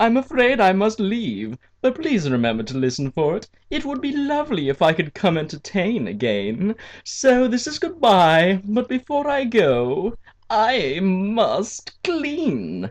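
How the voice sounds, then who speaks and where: In a put-on character voice, a man cackles at a high pitch and a fairly slow pace against a quiet background. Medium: read story. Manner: sing-song, gleeful, creepy.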